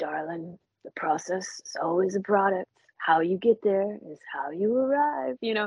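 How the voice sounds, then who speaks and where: A woman's put-on, gruff character voice at a medium pitch and moderate pace. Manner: earnest, philosophical.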